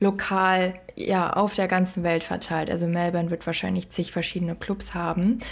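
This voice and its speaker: One woman speaks at a medium pitch in a monotone, flat intonation. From Germany. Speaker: podcast co-host. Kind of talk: casual chat.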